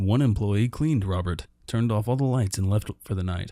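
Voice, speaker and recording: A man talks at a moderate pace and fairly low pitch with ordinary pitch variation and a dark, mellow tone, on a very clean recording with a silent background. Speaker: creepypasta narrator. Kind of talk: reading aloud. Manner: stumbles over words.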